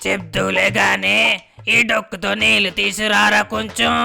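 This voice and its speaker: Faint music plays behind the speaker. A man performs in a cartoonish character voice. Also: fairly slow pace. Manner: nosy, teasing.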